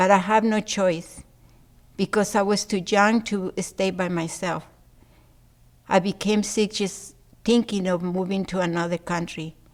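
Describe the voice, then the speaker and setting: A woman with a Spanish accent speaks at a medium pitch in a monotone, flat intonation, at a fairly slow pace with long, frequent pauses. The recording is very clean, with a silent background. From Mexico City, Mexico. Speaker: adult literacy learner. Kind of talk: reading aloud.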